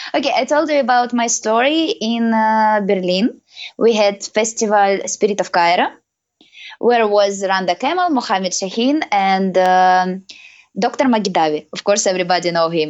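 Lively intonation and a moderate pace in a woman's medium-pitched speech. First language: not English. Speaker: professional belly dancer and teacher. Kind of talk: interview. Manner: halting.

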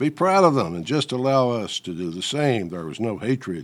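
A normal speaking voice with lively intonation, delivered at a moderate pace. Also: man. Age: 60s. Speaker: political commentator. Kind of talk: scripted commentary.

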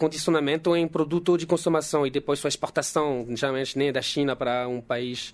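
At a fairly quick pace, a man is heard in a very clean recording with a silent background. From France. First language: French (speaking Portuguese). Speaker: geologist. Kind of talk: casual chat.

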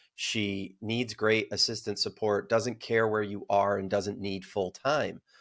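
A man with an American accent speaks at a fairly low pitch in a monotone, flat delivery. His pace is fairly slow, with hardly any pauses. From upstate New York. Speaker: entrepreneur and author. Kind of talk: interview. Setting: remote call.

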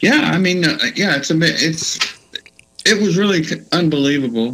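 A man with a Texan accent speaks at a fairly slow pace, his fairly high pitch rising and falling in a lively way. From Texas Hill Country. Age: 60s. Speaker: musician and author. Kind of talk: casual interview.

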